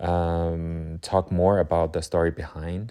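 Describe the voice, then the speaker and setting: A man's very deep, low voice with a dark, mellow tone, a non-native accent and fairly even intonation, against a quiet background. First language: not English. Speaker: watercolor artist. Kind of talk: casual chat. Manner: halting.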